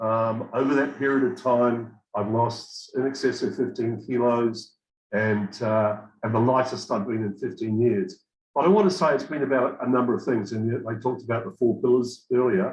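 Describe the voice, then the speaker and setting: Medium pitch, ordinary pitch variation, and a moderate pace in a man's unremarkable speaking voice. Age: 60s. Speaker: program participant giving testimonial. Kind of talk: testimony.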